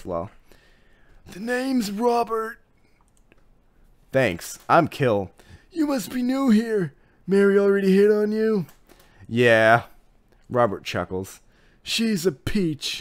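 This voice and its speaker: In a raspy, put-on character voice at middle pitch, the speaker goes at a fairly slow pace with long, frequent pauses. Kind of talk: friendly bar banter.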